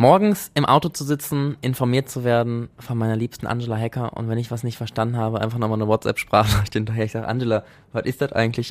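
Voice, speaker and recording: A man at a medium pitch, very fast delivery, fairly even intonation. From Germany, Essen (Ruhr area). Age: 20s. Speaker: androgynous model and stylist. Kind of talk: casual chat. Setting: studio.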